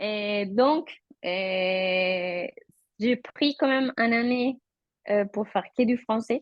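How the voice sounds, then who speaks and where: A woman speaks in a Colombian accent at a medium pitch, with ordinary pitch variation. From Colombia, Bogota. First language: Spanish (speaking French). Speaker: interviewee, mother. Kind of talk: interview. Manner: halting, with repetitions.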